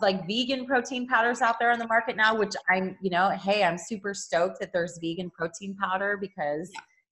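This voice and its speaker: A normal speaking voice talking at a fairly quick pace, with ordinary pitch variation. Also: woman. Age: 40s. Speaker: yoga teacher and vegan influencer. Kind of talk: interview.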